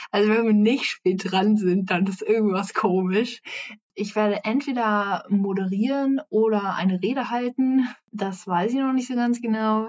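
Fairly even intonation runs through the speech. It is an unremarkable speaking voice. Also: woman, fairly high pitch for a woman. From Hessen, Frankfurt am Main. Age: young. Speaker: climate activist and environmental volunteer. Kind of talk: casual interview.

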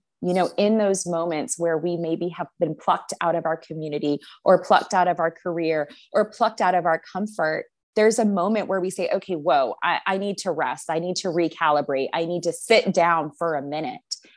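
A woman's unremarkable speaking voice, fairly low in pitch with ordinary variation, at a fairly quick pace on a very clean recording with a silent background. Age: 30s. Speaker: Bible teacher and ministry leader. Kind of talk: interview conversation.

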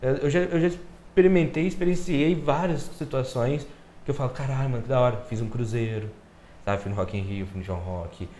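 In a room with audible echo, a man with a somewhat breathy, dark, mellow tone speaks at a medium pitch and moderate pace, with very wide pitch swings. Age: 20s. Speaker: podcast guest. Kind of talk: casual chat.

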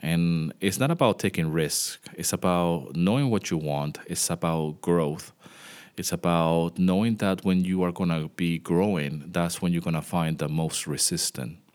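At a fairly slow pace, a man speaks with a very deep, low pitch and ordinary pitch variation on a very clean recording with a silent background. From Venezuela. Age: 40s. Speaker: music composer and podcast host. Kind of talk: solo podcast monologue. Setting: home studio. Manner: hesitant, many fillers.

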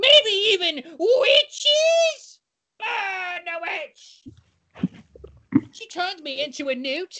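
In a put-on character voice, a female-sounding speaker goes extremely high in pitch with very wide swings. The pace is very slow, broken by long, frequent pauses. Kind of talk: comic overacting. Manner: excited, teasing, overacted.

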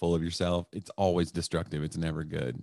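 The speaker is a man with a Southern US accent. He talks at a fairly quick pace. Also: dry, close sound with no echo, very clean recording, silent background. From East Tennessee. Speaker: stand-up comedian. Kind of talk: casual chat.

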